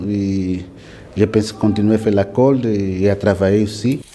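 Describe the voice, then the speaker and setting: A man with a fairly low voice speaks very slowly, with audible room echo and noticeable background noise. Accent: Portuguese. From Angola. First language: Portuguese (speaking French). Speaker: inmate learner. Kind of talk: classroom discussion. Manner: halting.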